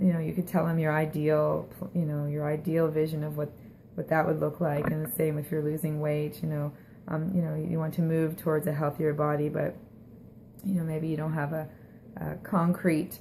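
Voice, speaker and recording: A woman talks at a moderate pace in a very deep, low pitch. Her voice is somewhat breathy and her intonation monotone and flat. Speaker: health and wellness vlogger. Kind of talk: casual advice talk to camera.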